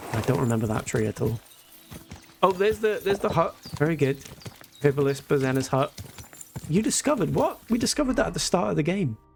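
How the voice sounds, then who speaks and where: A man speaks at a very fast pace with a fairly high pitch and very wide pitch swings. He takes long, frequent pauses over noticeable background noise. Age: 20s. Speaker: video game streamer. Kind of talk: live gameplay commentary, casual chat with viewers. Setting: live stream.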